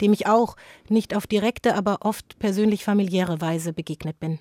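A woman speaks with a dark, mellow tone at a medium pitch. The sound is dry and close with no echo, on a very clean recording with a silent background. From Germany, Frankfurt am Main. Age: 40s. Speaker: author and journalist. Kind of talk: interview.

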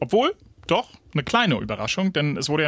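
A man's fairly high voice makes very wide pitch swings, with a dry, close sound and no echo. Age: 40s. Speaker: radio news podcast host. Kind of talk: casual news discussion.

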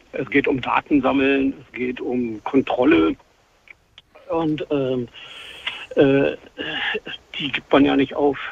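Long pauses appear frequently. The overall pace is very slow. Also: man. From Brandenburg, Germany. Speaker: caller. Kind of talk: radio call-in conversation.

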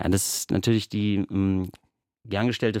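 Fairly low in pitch, a man with an unremarkable speaking voice talks with fairly even intonation on a very clean recording with a silent background and a dry, close sound with no echo. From western Germany (Bochum, Ruhr area). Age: 30s. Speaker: theatre dramaturge. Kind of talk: radio interview.

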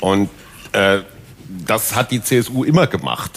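A man speaks at medium pitch and a fairly slow pace. His pitch swings very widely over noticeable background noise. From Westphalia. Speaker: newspaper columnist. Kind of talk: panel discussion. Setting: stage with audience.

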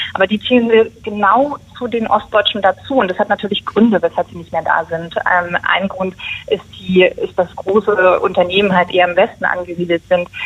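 Noticeable background noise accompanies a woman of medium pitch who speaks at a moderate pace with fairly even intonation. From Mecklenburg, northern East Germany. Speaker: journalist, initiative co-founder. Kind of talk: radio interview.

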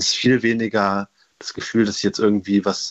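This man's voice is fairly low in pitch, and his intonation stays monotone and flat. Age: young (19). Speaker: caller. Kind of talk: radio call-in.

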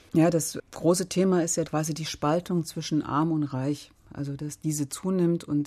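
Against a quiet background, a woman speaks in a very deep, low voice with a dark, mellow tone and monotone, flat intonation. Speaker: politician. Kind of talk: radio discussion. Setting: studio.

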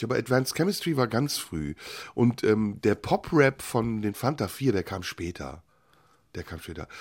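Very wide pitch swings run through a very clean recording with a silent background. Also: man. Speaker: radio host. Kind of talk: casual chat.

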